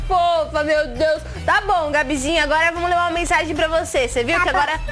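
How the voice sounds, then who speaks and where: With clear music in the background, a woman with an extremely high pitch talks at a very fast pace and very even loudness. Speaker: TV show hostess. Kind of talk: cheerful talk with a child caller, then reading a card aloud. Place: studio. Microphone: lapel.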